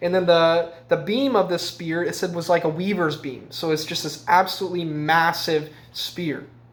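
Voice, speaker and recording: A man with a high pitch for a man, fairly even intonation, a moderate pace and hardly any pauses. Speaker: Bible teacher. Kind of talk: Bible teaching. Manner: halting, many fillers.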